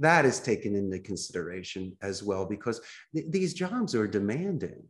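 A man speaks at a moderate pace with a fairly low pitch. His pitch swings very widely, and the background is quiet. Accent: Philadelphia. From US Northeast, Philadelphia. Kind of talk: podcast interview. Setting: remote call.

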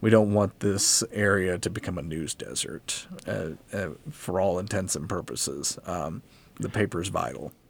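Here a man speaks with an American accent. His pace is fairly slow. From southwest Virginia (Abingdon). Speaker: sports writer. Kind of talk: radio interview.

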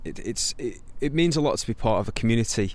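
The man's voice sits at medium pitch, moving at a moderate pace with lively intonation. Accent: Potteries. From Stoke-on-Trent, England. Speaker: singer-songwriter. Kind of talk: interview. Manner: halting.

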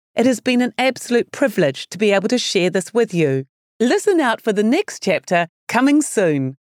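A woman speaks at a moderate pace, her fairly high voice swinging very widely in pitch. The sound is dry and close, without echo. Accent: New Zealand. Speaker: author and podcast host. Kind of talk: scripted intro and outro. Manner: warm, sincere.

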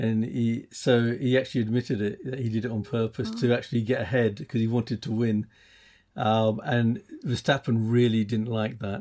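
A man with an English accent speaks at a moderate pace in a flat monotone, his tone dark and mellow at medium pitch. The recording is very clean with a silent background. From England. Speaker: podcast host. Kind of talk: casual chat.

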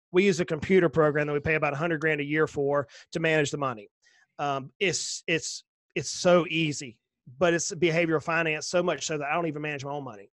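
A man talks at a very fast pace in a Southern US accent. His pitch is fairly high and his intonation fairly even. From US South. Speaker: financial planner. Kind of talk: casual interview.

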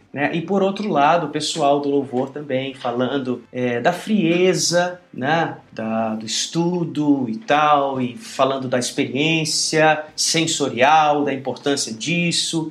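With noticeable background noise, a man speaks at a very slow pace with hardly any pauses, using a fairly high pitch and ordinary pitch variation. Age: 40s. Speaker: pastor and worship musician. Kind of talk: interview.

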